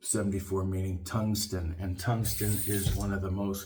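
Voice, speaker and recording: With a fairly low, somewhat breathy voice, a man speaks at a fairly slow pace in a monotone, flat intonation, and the room echo is audible. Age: 60s. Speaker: shaving video reviewer. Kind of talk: casual tutorial monologue. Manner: halting, many fillers.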